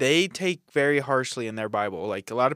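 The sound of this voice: With lively intonation, this is an unforced reading voice.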